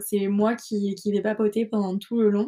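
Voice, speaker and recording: Dark, mellow tone from a woman at a medium pitch. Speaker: podcaster. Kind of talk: casual monologue. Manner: fast, rambling when nervous.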